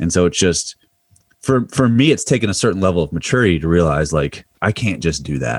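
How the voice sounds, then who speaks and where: A man with an American accent speaks at a very deep, low pitch with vocal fry. His intonation is lively. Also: dry, close sound with no echo. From Pennsylvania. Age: 30s. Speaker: strength and conditioning coach. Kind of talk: casual interview chat.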